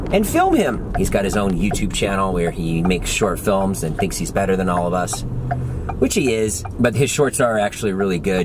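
Noticeable, loud background noise runs under the speech. The pace is moderate. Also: man. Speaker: vlogger. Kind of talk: casual vlog chat. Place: car. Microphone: phone near.

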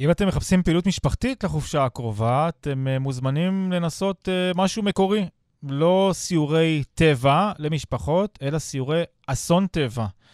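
A man with an ordinary speaking voice, fairly high-pitched, slowish in pace with lively intonation, in a very clean recording with a silent background and dry, close sound with no echo. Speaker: radio host. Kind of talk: radio interview. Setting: studio.

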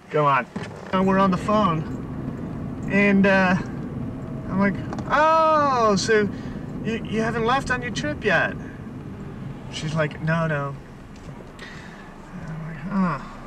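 A man's high-pitched voice at a very slow pace, with long, frequent pauses, lively intonation, dry sound with no echo and noticeable background noise. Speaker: storyteller. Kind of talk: casual monologue in a car. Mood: exasperated, sarcastic. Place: car. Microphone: old recording.

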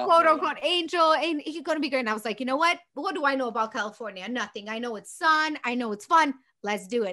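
A woman with a Romanian accent speaks very fast in a high, raised, projected voice, with lively intonation and hardly any pauses. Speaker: business founder and CEO; podcast guest. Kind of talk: podcast interview answer. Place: home room. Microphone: studio mic.

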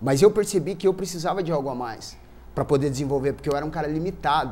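This man speaks with a fairly high pitch. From Brazil, Cascavel (Paraná); Paraná, Brazil. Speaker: journalist. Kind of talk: interview. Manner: animated. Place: studio.

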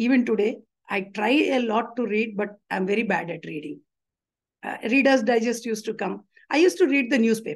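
A woman with an Indian accent talks at a fairly quick pace and fairly high pitch, her intonation lively, with vocal fry. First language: Telugu. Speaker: retired bank employee and union leader. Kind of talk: interview.

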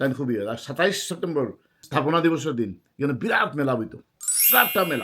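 A man talks with lively intonation. His tone is bright and sharp. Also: fairly high pitch for a man. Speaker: vlogger. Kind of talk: storytelling monologue.

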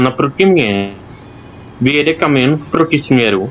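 Fairly slow delivery with noticeable background noise behind it. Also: man. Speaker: gamer streaming with friends. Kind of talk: casual gaming chat.

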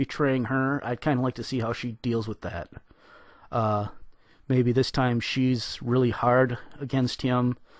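Against a quiet background and with a dry sound and no echo, a man speaks in monotone, flat intonation at a fairly slow pace, leaving long, frequent pauses. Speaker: fan commentator. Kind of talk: casual commentary. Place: home room. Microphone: studio mic.

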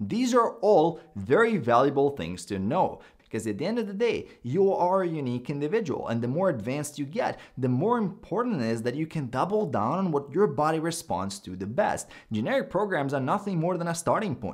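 A man at a fairly quick pace, with very wide pitch swings, hardly any pauses, and a quiet background. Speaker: fitness coach. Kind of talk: commentary. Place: home room.

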